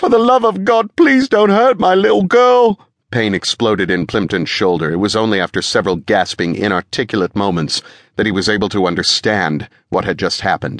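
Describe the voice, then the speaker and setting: The delivery comes at a fairly quick pace. Its sound is dry and close, with no echo. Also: man. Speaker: audiobook narrator. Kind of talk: dramatic audiobook narration, thriller.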